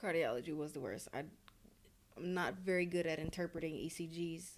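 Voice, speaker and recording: A woman with a Louisiana accent talks at a fairly quick pace and a fairly low pitch. Her intonation is fairly even, and the room echo is audible. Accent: Southern US (Louisiana). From Louisiana, US South. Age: 20s. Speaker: paramedic student. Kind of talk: interview. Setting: hotel.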